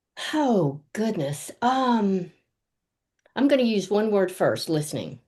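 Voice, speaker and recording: At a very slow pace, a woman speaks in a dark, mellow tone with very wide pitch swings. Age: 70s. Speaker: coach and speaker. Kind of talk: interview. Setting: video call. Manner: enthusiastic.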